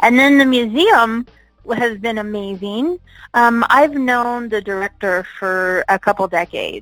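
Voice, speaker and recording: A woman has a normal speaking voice with an American accent and a fairly high pitch. She speaks at a fairly slow pace with ordinary pitch variation. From Las Vegas, US. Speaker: retired adult film performer and event producer. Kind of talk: interview.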